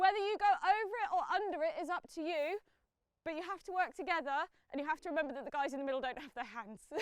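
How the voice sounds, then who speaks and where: Loud and very fast, a woman speaks at an extremely high pitch with lively intonation. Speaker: parkour coach. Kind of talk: instruction. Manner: encouraging.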